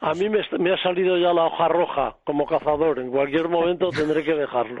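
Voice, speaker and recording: Against noticeable background noise, a man talks at a fairly quick pace in a fairly high voice with ordinary pitch variation. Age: 70s. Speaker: hunter and family member of a writer. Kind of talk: radio panel chat.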